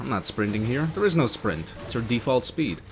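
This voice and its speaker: With music playing behind him, a man speaks fairly quickly, his pitch varying in an ordinary way. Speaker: game reviewer. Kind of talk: video game review narration. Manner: casual, profane.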